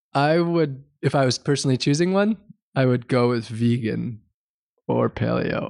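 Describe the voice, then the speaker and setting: A man's plain, everyday voice at medium pitch, with moderate pace, ordinary pitch variation and very even loudness, in a dry, close sound with no echo. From US Midwest, Wisconsin. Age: 30s. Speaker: environmental activist. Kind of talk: interview.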